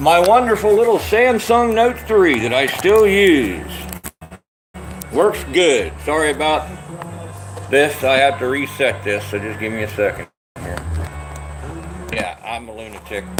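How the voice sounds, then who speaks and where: A man with an American accent talks at a fairly slow pace in a fairly high pitch, with very wide pitch swings, big swings in loudness, and long, frequent pauses. Music plays in the background, and room echo is audible. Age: 60s. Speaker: self-styled prophet vlogger. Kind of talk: livestream monologue. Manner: animated.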